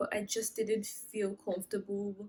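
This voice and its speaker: A woman at medium pitch sounds shaky and somewhat breathy. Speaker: vlogger sharing personal experience. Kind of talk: personal story vlog. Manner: shaky, halting.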